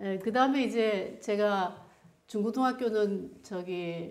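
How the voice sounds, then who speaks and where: A woman with a Chungcheong accent speaks with a fairly high pitch and ordinary pitch variation. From Chungcheong region, Korea. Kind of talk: conversational. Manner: slow.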